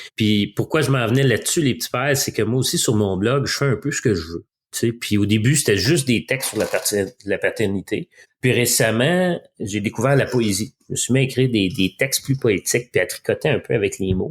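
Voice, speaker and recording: In a Quebec accent, a man talks at a fairly quick pace with a medium pitch and ordinary pitch variation. His voice is somewhat breathy on a very clean recording with a silent background. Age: 40s. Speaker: father and blogger, former business executive. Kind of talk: casual chat. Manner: fast.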